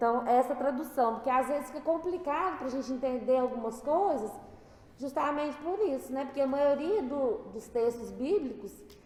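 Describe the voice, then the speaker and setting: Her voice is high, with ordinary pitch variation at a moderate pace. The woman is heard with audible room echo and noticeable background noise. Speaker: spiritist study leader. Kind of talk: religious study talk. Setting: spiritist center.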